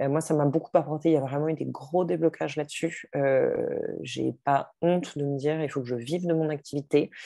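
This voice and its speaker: A woman's very deep, low voice with a dark, mellow tone, fairly even intonation and a moderate pace, dry with no echo over a quiet background. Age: 40s. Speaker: entrepreneur and life coach. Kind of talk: interview testimony. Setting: video call. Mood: reflective, warm. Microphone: video call.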